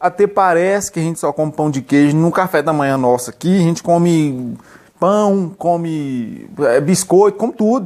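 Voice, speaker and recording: At a moderate pace and with ordinary pitch variation, a man speaks in a high voice against a quiet background. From Minas Gerais, Brazil. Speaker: vlogger. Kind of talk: casual chat. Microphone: phone near.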